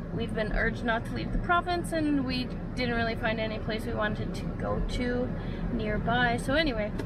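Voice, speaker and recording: A woman's voice, dry with no echo, over loud background noise. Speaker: vlogger. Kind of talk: casual vlog chat. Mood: cheerful, relaxed. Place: car. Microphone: phone near.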